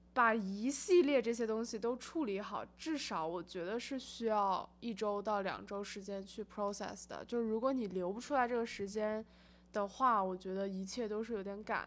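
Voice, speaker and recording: With a normal speaking voice, a woman talks at a moderate pace and fairly high pitch, with ordinary pitch variation and hardly any pauses. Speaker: rental agent and student. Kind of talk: casual chat.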